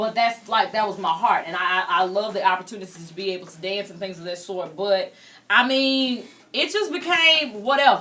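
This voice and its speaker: The speech runs at a fairly quick pace, with lively intonation and big swings in loudness. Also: woman, medium pitch for a woman. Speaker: talk show host. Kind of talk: interview.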